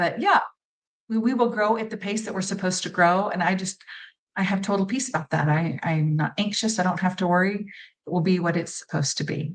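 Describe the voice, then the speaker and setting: A woman with a somewhat breathy, medium-pitched voice speaks at a fairly quick pace with ordinary pitch variation. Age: 60s. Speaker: former pageant titleholder and travel creator. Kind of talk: interview. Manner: hesitant, many fillers.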